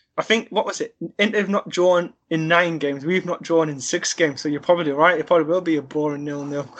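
A man with a Sunderland accent talks at a very fast pace. His pitch is high and his intonation fairly even. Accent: Mackem (Sunderland) English. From northern England, Sunderland. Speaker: football fan. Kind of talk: casual chat.

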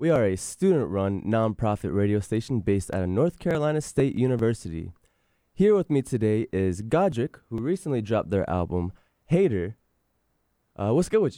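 A man with an American accent speaks at a fairly quick pace in a dark, mellow tone, his pitch swinging very widely. The sound is dry and close with no echo on a very clean recording with a silent background. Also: medium pitch for a man. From Virginia Beach, US. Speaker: college radio host. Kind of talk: casual interview chat. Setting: radio studio.

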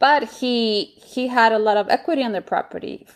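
A woman with a Colombian accent speaks at a fairly high pitch. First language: Spanish. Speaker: real estate investor. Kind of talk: interview.

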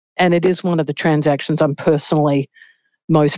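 A woman with an Australian accent, very deep and low in pitch, at a fairly quick pace with monotone, flat intonation, in a dry, close sound with no echo and a quiet background. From Australia, Melbourne. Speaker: senior investment banker. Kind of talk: interview.

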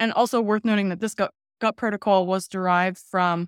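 At a fairly quick pace and a medium pitch, a woman speaks with fairly even intonation in a dry, close sound with no echo, on a very clean recording with a silent background. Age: 30s. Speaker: nutrition researcher and health consultant. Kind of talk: interview.

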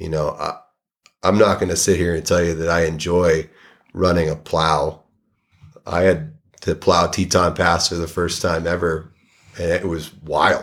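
In a very clean recording with a silent background, a man with an American accent speaks at a fairly slow pace with a very deep, low pitch, monotone, flat intonation and long, frequent pauses. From Massachusetts (Saugus, near Boston). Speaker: avalanche forecaster. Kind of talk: casual interview.

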